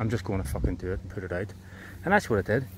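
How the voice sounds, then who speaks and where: A man talks with a Belfast accent. His pitch variation is ordinary. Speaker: tree planter and content creator. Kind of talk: casual vlog monologue. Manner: fast when excited.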